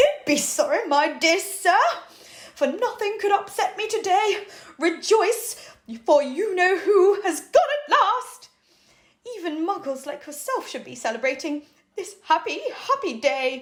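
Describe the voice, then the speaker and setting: A put-on, squeaky character voice with an extremely high pitch talks at a fairly slow pace. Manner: delighted, gleeful.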